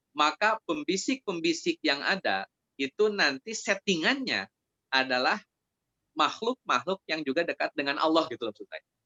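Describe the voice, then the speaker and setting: With a West Javanese accent, the voice makes very wide pitch swings and big swings in loudness. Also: man, high pitch for a man, moderate pace. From Indonesia, Sundanese (West Java). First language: Sundanese (speaking Indonesian). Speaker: Islamic preacher. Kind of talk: religious study Q&A. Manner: conversational, with fillers.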